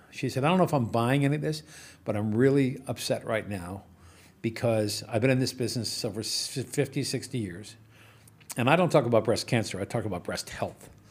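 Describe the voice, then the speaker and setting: Somewhat breathy, a man talks at a fairly quick pace with a medium pitch. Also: ordinary pitch variation. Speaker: entrepreneur. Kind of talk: casual chat.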